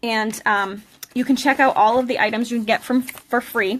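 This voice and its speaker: Speaking at a fairly quick pace with a New England accent, a woman uses a fairly high pitch and fairly even intonation. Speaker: craft instructor and product seller. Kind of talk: live craft tutorial. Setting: live stream recorded on tablet. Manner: casual, chatty with fillers.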